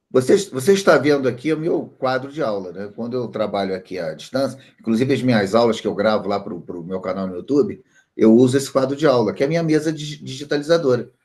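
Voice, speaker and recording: A man speaks very fast at a medium pitch, with lively intonation. His loudness swings widely. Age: 60s. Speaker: statistics teacher. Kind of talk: online class.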